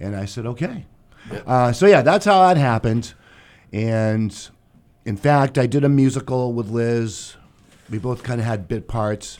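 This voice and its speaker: Medium-pitched man in a Boston accent, lively in intonation, fairly slow, with long, frequent pauses. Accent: Boston-area New England. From Massachusetts South Shore (Duxbury). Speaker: theater director. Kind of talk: radio interview.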